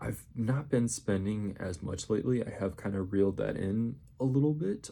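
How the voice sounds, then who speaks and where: A man speaks quietly. His tone is dark and mellow. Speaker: vlogger. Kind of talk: casual haul video. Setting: apartment at night. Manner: quiet, subdued; rambling, halting.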